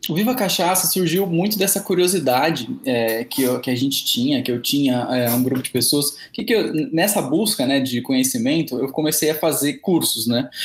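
With a plain, everyday voice, a man talks at a moderate pace with hardly any pauses, his pitch fairly high and his intonation lively. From interior of São Paulo state, Presidente Prudente. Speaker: cachaça specialist and sommelier. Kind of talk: podcast interview.

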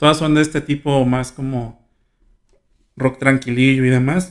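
Here a man of medium pitch is talking. His pace is moderate and his intonation fairly even. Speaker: student radio host. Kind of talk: casual radio show.

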